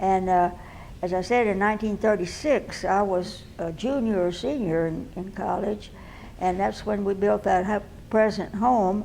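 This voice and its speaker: In a Texan accent, a woman speaks at a fairly slow pace with medium pitch and fairly even intonation. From San Marcos, Texas. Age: 80s+. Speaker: oral history interviewee. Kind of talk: interview answer.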